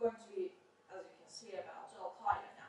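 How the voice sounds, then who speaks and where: Noticeable background noise surrounds a woman speaking with lively intonation. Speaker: conference presenter. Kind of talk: academic conference presentation. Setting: conference room with audience, no microphone. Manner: loud.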